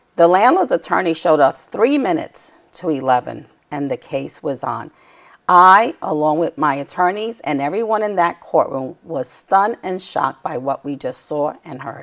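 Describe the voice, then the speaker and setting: A woman with a New York accent, fairly low in pitch, at a moderate pace, her intonation lively. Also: quiet background. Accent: New York City. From New York City, Lower Manhattan. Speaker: tenant rights activist; guest. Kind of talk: TV interview. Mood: earnest, indignant storytelling. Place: studio. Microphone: lapel.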